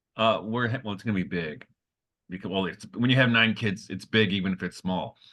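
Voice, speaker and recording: Ordinary pitch variation accompanies a fairly quick pace of speech. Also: man, fairly low pitch for a man. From US, Detroit. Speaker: podcast co-host and teacher. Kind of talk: casual chat. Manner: fast.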